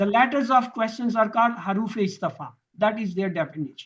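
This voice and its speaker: At a moderate pace, a man speaks in a high pitch with ordinary pitch variation. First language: Urdu. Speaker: Quran teacher. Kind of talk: lecture.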